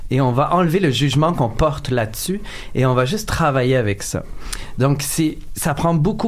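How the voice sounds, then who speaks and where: Over noticeable background noise and audible room echo, a man with fairly high pitch talks at a moderate pace, with ordinary pitch variation and very even loudness. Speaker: clown. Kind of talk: radio interview. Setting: radio studio.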